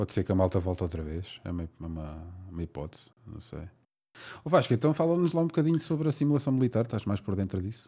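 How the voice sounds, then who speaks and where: Speaking very fast with a European Portuguese accent, a man with a dark, mellow, somewhat breathy tone swings very widely in pitch and makes big swings in loudness. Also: fairly low pitch for a man, very clean recording, silent background. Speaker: podcast host. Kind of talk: casual interview chat.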